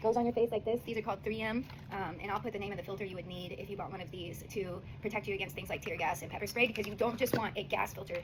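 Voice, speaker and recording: A woman speaks at a very fast pace in a medium pitch. Noticeable background noise can be heard behind her. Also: ordinary pitch variation. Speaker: singer-songwriter and visual artist. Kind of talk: casual product review vlog. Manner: soft-spoken; animated.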